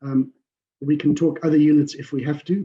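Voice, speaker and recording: This man's dark, mellow tone comes through as he talks at a fairly slow pace. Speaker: industry engineer presenting at a conference. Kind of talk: conference presentation.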